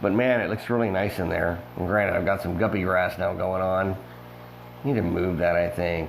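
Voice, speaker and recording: A man speaks with a very deep, low pitch and ordinary pitch variation. His pace is moderate, and there is audible room echo. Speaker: fish breeder and aquarium hobbyist. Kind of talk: casual video tour. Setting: indoors in a fish room. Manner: casual with many fillers.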